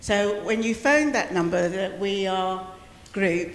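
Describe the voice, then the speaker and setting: A woman's medium-pitched voice carries fairly even intonation. Audible room echo and noticeable background noise are present. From Wales. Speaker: community advocate. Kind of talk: community meeting address.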